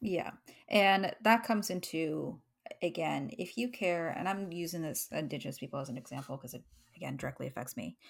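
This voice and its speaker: On a very clean recording with a silent background, a woman with a Canadian accent speaks with vocal fry, very wide pitch swings and big swings in loudness. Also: fairly low pitch for a woman, fairly quick pace. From Canada. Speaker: podcast co-host. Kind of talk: casual chat.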